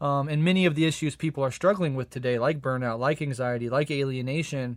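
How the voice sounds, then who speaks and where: With an American accent, a man with a fairly high pitch speaks very fast and with fairly even intonation on a very clean recording with a silent background. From USA. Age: 30s. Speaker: podcast host. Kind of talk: interview.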